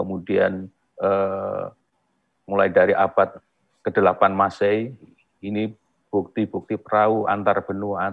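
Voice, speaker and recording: Monotone, flat intonation from a man with a fairly low pitch. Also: quiet background. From rural Indonesia. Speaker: museum director, archaeologist; webinar speaker. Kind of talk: webinar presentation. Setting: video call. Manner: halting. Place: office. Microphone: earbuds.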